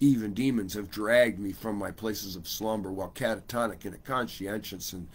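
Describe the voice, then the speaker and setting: At a moderate pace, a man speaks with fairly low pitch and fairly even intonation. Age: 50s. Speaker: livestream host. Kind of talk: reading aloud own writing; casual livestream chat. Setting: home livestream on laptop. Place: home room. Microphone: webcam.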